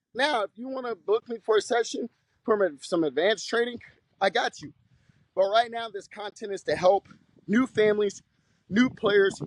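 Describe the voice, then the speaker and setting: At a moderate pace, a man speaks with a high pitch in a dry, close sound with no echo. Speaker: basketball coach. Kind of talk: tutorial. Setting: outdoors. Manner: loud.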